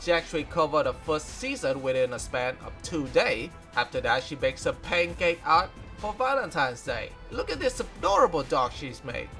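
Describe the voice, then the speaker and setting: A man talking at a moderate pace, with music in the background. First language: non-native English speaker. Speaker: fan news presenter. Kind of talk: news recap narration.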